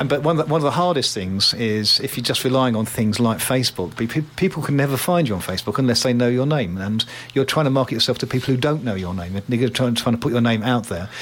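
Against noticeable background noise, a man speaks at a very fast pace in a medium pitch with ordinary pitch variation. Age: 60s. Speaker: radio host. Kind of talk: casual chat.

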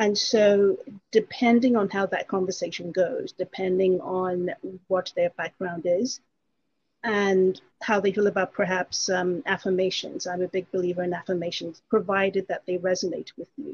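Somewhat breathy, a woman speaks at a moderate pace. Her intonation stays fairly even. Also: medium pitch for a woman. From England. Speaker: life coach. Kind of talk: casual interview chat.

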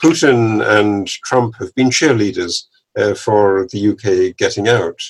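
This man speaks with a southern English accent. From England, Cambridge. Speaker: economics professor. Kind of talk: interview.

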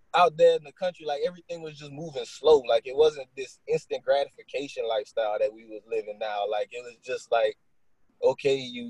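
Somewhat breathy, a man talks at a fairly quick pace with ordinary pitch variation in a dry, close sound with no echo. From rural Louisiana, US. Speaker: finance education podcaster. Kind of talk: casual interview chat.

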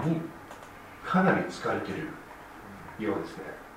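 Over noticeable background noise and audible room echo, a man with an English accent talks in a fairly high pitch. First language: English (speaking Japanese). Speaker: lay preacher. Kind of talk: sermon. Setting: church. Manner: halting, many fillers.

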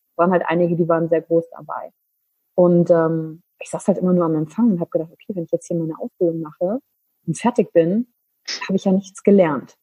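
This voice has a dark, mellow tone and a fairly quick pace, recorded with a dry, close sound and no echo. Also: woman, fairly low pitch for a woman. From western Germany, Wülfrath near Wuppertal. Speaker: business coach and trainer. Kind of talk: interview. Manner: animated.

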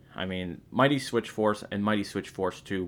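On a very clean recording with a silent background, a man with an unremarkable speaking voice speaks at a fairly low pitch with ordinary pitch variation. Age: 20s. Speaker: video game music podcast host. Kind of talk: casual music show presenting.

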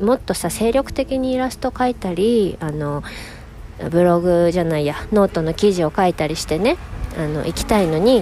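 Over noticeable background noise, a woman talks at a moderate pace with a fairly low pitch and lively intonation. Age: 40s. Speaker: illustrator and podcast host. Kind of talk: casual solo monologue. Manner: frequent laughter.

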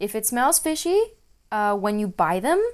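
A woman speaks with a French accent. The recording is very clean, with a silent background. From French-speaking region, multilingual upbringing. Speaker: naturopath podcast host. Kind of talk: solo Q&A podcast talk. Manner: hesitant, many fillers.

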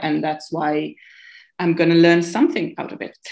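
A woman with an Italian accent, her pitch fairly low. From Italy, near Modena and Bologna. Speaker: podcast guest. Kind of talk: casual chat. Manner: nervous about speaking English.

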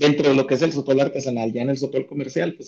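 His voice has a dark, mellow tone. The man's pitch sits in the medium range. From Chihuahua, northern Mexico. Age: 30s. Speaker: sotol brand co-founder and economist. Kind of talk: interview. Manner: halting, many fillers.

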